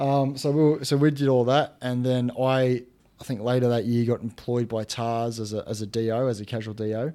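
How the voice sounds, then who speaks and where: A man's dark, mellow, medium-pitched voice at a fairly quick pace, with fairly even intonation. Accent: Australian. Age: 20s. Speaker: podcast host. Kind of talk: casual interview.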